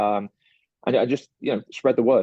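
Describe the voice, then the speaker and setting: A man with a British accent at a medium pitch. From UK. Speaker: startup partnerships manager. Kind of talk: interview. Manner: halting, many fillers and repeats.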